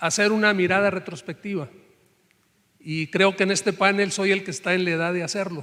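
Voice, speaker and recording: The speaker is a man. His pitch is high. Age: 60s. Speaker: professor-researcher. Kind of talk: panel discussion.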